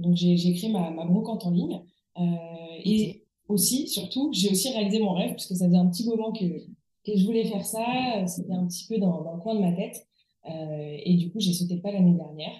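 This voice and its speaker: Somewhat breathy and dark, mellow in tone, a woman talks at medium pitch and a moderate pace with ordinary pitch variation. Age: 30s. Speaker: furniture restorer. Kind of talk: interview. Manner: halting.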